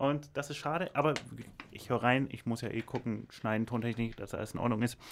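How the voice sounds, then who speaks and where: A man talks in a normal speaking voice at medium pitch. His intonation stays fairly even, and his pace is fairly quick. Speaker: podcast co-host. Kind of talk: casual chat. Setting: radio studio.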